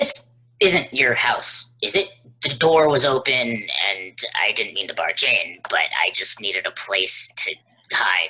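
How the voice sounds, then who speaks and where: A man puts on a character voice at a medium pitch. His delivery is fairly slow. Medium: stage play. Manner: defensive, jumpy.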